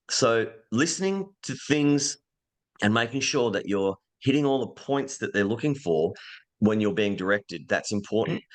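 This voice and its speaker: A man with an Australian accent, medium pitch and lively intonation, against a quiet background. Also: moderate pace. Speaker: voice actor. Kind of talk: podcast interview answer. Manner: casual, conversational.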